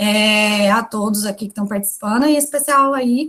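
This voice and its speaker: A fairly slow pace with fairly even intonation. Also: woman. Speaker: university lecturer. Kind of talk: lecture.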